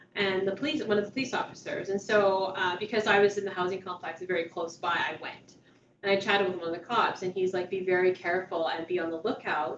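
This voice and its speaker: Speaking at a very fast pace, a woman with a medium pitch keeps her intonation fairly even against noticeable background noise. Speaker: outreach worker and trainer. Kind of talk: training session. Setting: meeting room, also on video call.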